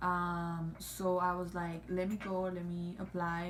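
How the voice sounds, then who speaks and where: Audible room echo surrounds a woman whose fairly low voice is somewhat breathy. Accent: non-native. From Cuba or Mexico. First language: not English. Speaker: YouTuber. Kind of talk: casual chat. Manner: halting, many fillers.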